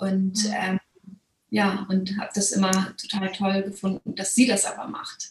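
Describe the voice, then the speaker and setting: Monotone, flat intonation comes from a woman at a medium pitch. She speaks at a fairly slow pace. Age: 30s. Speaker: course participant, buyer. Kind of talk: interview testimonial.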